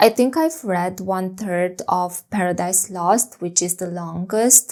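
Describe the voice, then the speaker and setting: A woman with a non-native accent speaks with ordinary pitch variation. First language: not English. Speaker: book vlogger. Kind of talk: casual vlog talk.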